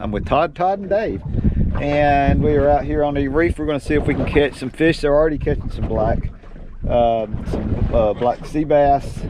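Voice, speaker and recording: At a moderate pace, a man talks with ordinary pitch variation, the sound dry with no echo and noticeable background noise behind him. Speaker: fishing vlogger. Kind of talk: casual vlog chat. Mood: cheerful, excited. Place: boat.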